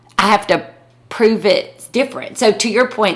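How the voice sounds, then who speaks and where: A woman with an American accent talks at a moderate pace against noticeable background noise. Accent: Southern US, thick growing up, noticed still. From US South, rural North Carolina. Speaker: podcast co-host, lawyer. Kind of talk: casual chat. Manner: halting.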